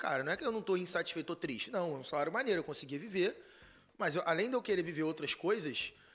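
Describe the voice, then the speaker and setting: Lively intonation at a very fast pace. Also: man. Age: 30s. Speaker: content marketer and former math teacher. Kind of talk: casual chat.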